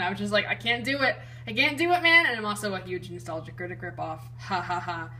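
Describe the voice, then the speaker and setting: Noticeable background noise sits under a woman who speaks very fast. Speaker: YouTube card collector. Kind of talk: casual collection showcase. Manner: animated, enthusiastic.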